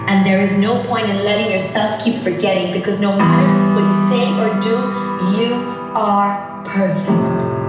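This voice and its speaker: Loud music in the background and audible room echo. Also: woman. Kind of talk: spoken-word poetry performance. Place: stage. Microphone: camera far.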